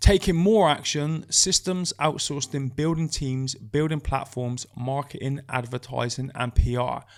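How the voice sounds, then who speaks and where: A fairly high-pitched male voice with a British accent and hardly any pauses. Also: ordinary pitch variation, fairly slow pace. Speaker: podcast co-host. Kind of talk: casual chat. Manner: slight slur on S sounds.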